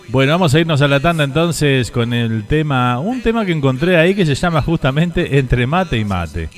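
With music in the background, a man talks at a fairly quick pace with hardly any pauses, using a fairly high pitch and lively intonation. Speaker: radio host. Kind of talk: casual chat. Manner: animated.

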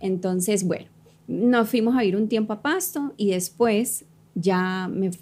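A woman's medium-pitched, somewhat breathy voice moves at a very slow pace with ordinary pitch variation. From Colombia (Cali), childhood partly in New York. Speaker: fitness coach and entrepreneur. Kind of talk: casual interview chat. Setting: studio.

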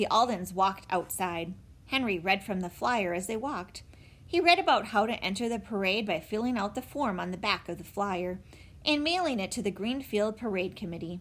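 With a plain, everyday voice, a woman talks at a fairly quick pace. Her pitch is medium and her intonation lively. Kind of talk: children's audiobook reading. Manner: warm, clear, steady pace suited to young listeners.

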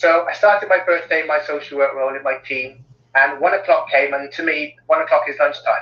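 A man with a Cardiff accent speaks at a fairly quick pace. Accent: Welsh (Cardiff). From Cardiff, South Wales. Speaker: well-being consultant. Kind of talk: interview.

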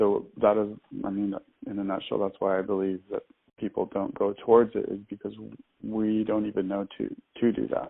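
Long, frequent pauses break up a man's speech, which otherwise runs at a moderate pace. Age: 40s. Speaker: spiritual healer. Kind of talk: casual interview.

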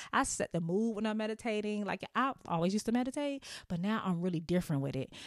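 A woman's very fast, animated talk with lively intonation, on a very clean recording with a silent background. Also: medium pitch for a woman. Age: 30s. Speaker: podcast host. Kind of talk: casual chat. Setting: home studio. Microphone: new mic.

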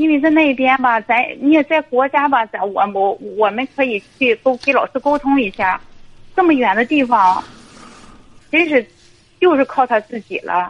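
A woman with a high pitch and lively intonation speaks at a moderate pace, leaving long, frequent pauses. The sound is dry and close, with no echo. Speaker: caller, divorced mother and civil servant. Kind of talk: phone-in personal story. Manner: halting, many fillers. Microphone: too quiet at first.

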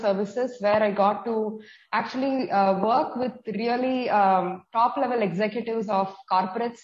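This woman has a fairly high pitch and ordinary pitch variation. Her voice comes across somewhat breathy. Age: 40s. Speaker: nutrition coach. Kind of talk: interview.

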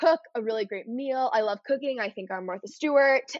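A woman talks in a plain, everyday voice at a moderate speed, her pitch varying in an ordinary way. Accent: American. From Texas, north of Dallas. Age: 20s. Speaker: content creator. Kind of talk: casual chat.

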